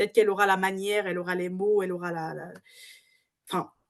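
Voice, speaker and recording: A woman's voice at medium pitch. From Cameroon. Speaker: management consultant. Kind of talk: interview. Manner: halting.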